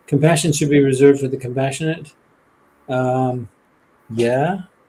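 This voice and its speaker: Fairly quick, somewhat breathy speech with ordinary pitch variation. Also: man. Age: 60s. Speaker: biologist and author. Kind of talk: interview on a live stream.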